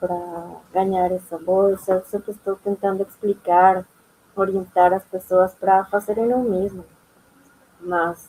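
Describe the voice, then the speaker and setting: A woman speaks at medium pitch in a dark, mellow tone. Her delivery is very slow and monotone, with flat intonation. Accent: non-native. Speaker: immigrant panelist, former master's student. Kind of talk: panel discussion. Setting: university auditorium event.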